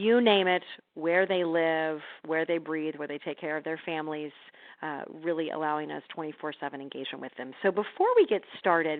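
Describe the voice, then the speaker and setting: A woman's very deep, low voice with an American accent, fairly quick and fairly even in intonation. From Missouri, US Midwest. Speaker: healthcare social media speaker. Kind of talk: webinar presentation. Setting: phone and online webinar. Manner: fast; halting, many repeated words.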